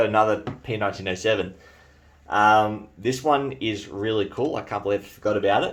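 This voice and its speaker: A man speaks with an Australian accent. His pitch is fairly low and his pace moderate. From New Zealand. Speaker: bayonet collector and video creator. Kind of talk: show-and-tell video. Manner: casual, with hesitations.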